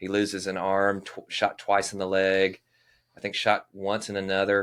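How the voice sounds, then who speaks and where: With a Southern US accent, a man speaks at a moderate pace in a fairly low pitch and monotone, flat intonation. The recording is very clean, with a silent background. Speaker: living historian. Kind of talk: casual chat.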